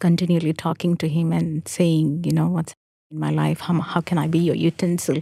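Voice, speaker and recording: A woman's fairly low, dark and mellow voice at a moderate pace, in a very clean recording with a silent background and a dry, close sound with no echo. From South India, Hyderabad. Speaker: Salvation Army officer. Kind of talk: casual chat. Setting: studio.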